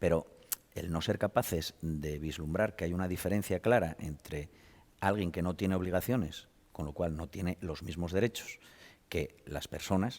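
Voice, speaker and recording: A man talks at a moderate pace in a very deep, low pitch with ordinary pitch variation. The recording is very clean, with a silent background. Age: 50s. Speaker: hunting advocate. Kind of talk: studio discussion. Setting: studio.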